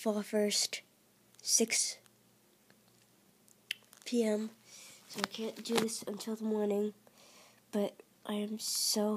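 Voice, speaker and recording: Over noticeable background noise, a woman with a fairly high voice speaks at a very slow pace. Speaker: works with students. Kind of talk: casual gameplay commentary.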